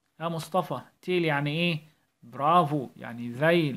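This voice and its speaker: In a very clean recording with a silent background, a man talks at a very slow pace with a fairly high pitch. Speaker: primary school English teacher. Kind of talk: tutorial. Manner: animated.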